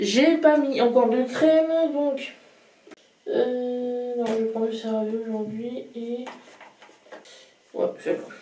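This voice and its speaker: Very slowly and with long, frequent pauses, a woman speaks in a high voice with ordinary pitch variation, amid noticeable background noise and audible room echo. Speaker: vlogger. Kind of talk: casual vlog talk to camera. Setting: at home in front of a mirror. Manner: hesitant, many fillers.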